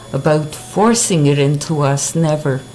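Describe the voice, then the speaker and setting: A woman speaks in a very deep, low voice with a Montreal accent. Noticeable background noise runs under her words. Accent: Montreal English-speaking Canadian. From Montreal, Quebec. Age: 70s. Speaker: interviewee. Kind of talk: street interview.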